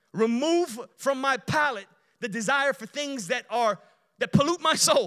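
With a Chicago accent, the speaker uses lively intonation at a moderate pace. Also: man. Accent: Chicago American. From Chicago, Illinois (Romanian family). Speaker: guest preacher. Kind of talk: sermon. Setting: church.

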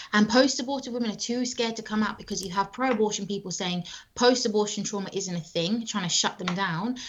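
Here a woman talks with a British accent and ordinary pitch variation. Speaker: anti-abortion advocate. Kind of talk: casual interview. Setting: video call.

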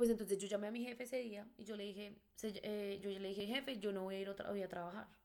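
A woman speaks fairly quickly at a medium pitch. Hers is an ordinary speaking voice. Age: 20s. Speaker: bar hostess. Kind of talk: personal storytelling.

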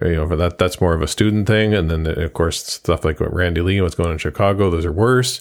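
A man speaks in a very deep, low pitch with a playful tone and ordinary pitch variation. The recording is very clean, with a silent background. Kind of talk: casual chat. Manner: joking, playful.

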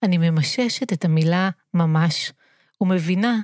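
In a very clean recording with a silent background and a dry, close sound free of echo, a woman speaks at medium pitch with ordinary pitch variation. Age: 40s. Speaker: community theatre director. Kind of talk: personal narrative monologue.

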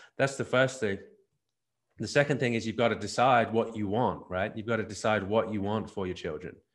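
Here is a man with an Australian accent and a fairly low pitch. He speaks at a fairly quick pace with ordinary pitch variation against a quiet background. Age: 40s. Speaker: family ministry business owner. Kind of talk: interview. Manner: repeats words, halting starts.

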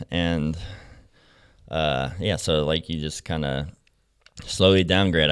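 This man's voice is very deep and low, with vocal fry and ordinary pitch variation. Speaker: former pro BMX rider in recovery, now works to help kids with addiction. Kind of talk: casual interview chat, telling his life story. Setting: studio.

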